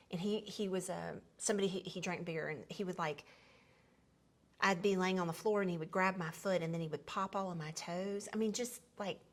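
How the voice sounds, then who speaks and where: With a Southern US accent, a woman talks at a fairly quick pace in a medium pitch, her intonation fairly even. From US South, Tennessee (Memphis). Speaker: podcast host sharing life story. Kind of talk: personal storytelling conversation. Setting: seated at home dining table. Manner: conversational with frequent fillers and restarts.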